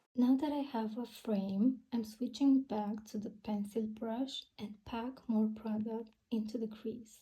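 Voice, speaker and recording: Speaking at a very slow pace with hardly any pauses, a woman with a non-native accent has a somewhat breathy voice, a dark, mellow tone, fairly high pitch, and monotone, flat intonation. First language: not English. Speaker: beauty content creator. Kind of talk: makeup tutorial voiceover. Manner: friendly, casual.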